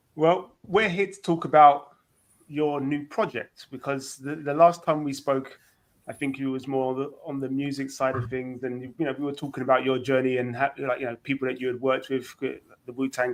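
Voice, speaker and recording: Intonation stays fairly even in this voice with a London accent. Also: man. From East London. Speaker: interview show host. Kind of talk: casual interview chat.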